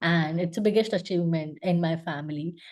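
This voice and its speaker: The speaker is a woman with a Gujarati accent. Her voice is fairly low, with a dark, mellow tone. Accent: Indian (Gujarati) English. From India, Gujarat. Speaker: UX designer. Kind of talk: interview. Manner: hesitant, many fillers.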